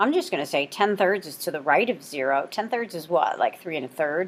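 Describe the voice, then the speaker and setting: A woman at a fairly quick pace, a normal speaking voice with ordinary pitch variation. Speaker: math teacher. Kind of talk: recorded lesson.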